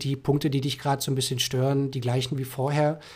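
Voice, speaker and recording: Somewhat breathy, a man talks in a fairly high pitch with monotone, flat intonation. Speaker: sales development representative. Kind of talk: casual chat.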